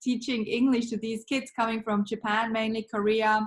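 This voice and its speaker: Speaking at a moderate pace in a Swiss accent, a woman uses a somewhat breathy, fairly high voice with monotone, flat intonation. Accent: Swiss accent, noticeable. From Switzerland. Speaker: business founder, marketing mentor. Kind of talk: podcast interview.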